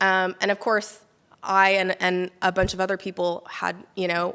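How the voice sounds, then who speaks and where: In a very clean recording with a silent background, a woman with a normal speaking voice talks with an American accent. Her pitch is fairly low, her intonation fairly even and her pace moderate. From United States. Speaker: immunologist and microbiome researcher. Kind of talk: lecture. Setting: talk to a small live audience.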